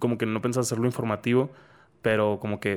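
Speaking very fast with monotone, flat intonation, a man holds a medium pitch. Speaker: podcast host. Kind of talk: casual chat.

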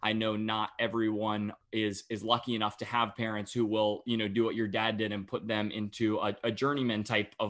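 Here a man with an American accent speaks in a fairly low pitch. His intonation is monotone and flat. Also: quiet background. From North Carolina (Cary, near Raleigh). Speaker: podcast host. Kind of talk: interview conversation.

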